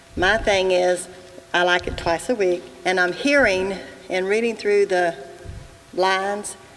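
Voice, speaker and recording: Noticeable background noise sits behind the speech. Delivery is very slow, with fairly even intonation. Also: woman. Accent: American. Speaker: resident. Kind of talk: public comment. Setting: public meeting with audience. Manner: loud.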